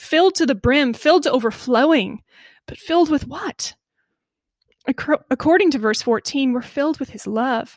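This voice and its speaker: A woman with an American accent speaks at a moderate pace in a high voice, her tone animated and her pitch variation ordinary. The sound is dry and close, with no echo. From Iowa, US Midwest. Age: 30s. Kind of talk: devotional podcast talk.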